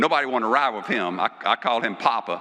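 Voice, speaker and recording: A man talks at a fairly quick clip with lively intonation, and there is noticeable background noise. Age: 60s. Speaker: award presenter. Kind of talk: awards ceremony speech.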